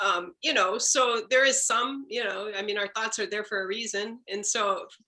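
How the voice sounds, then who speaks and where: A woman with a bright, sharp tone and fairly high pitch, ordinary pitch variation and a moderate pace. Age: 60s. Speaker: workshop participant. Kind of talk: group discussion.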